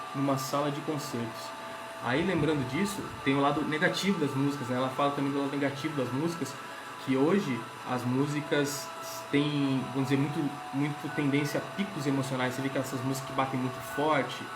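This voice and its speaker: Speaking at a fairly quick pace, a man has a fairly high pitch. Noticeable background noise and audible room echo fill the recording. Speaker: spiritist lecturer. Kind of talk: spiritual talk. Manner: fast.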